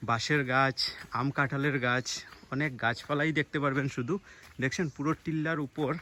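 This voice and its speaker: This man speaks with a fairly high pitch. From India, Assam (Karimganj district, Barak Valley). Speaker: vlogger. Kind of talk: vlog walk-and-talk narration. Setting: outdoors, village hills.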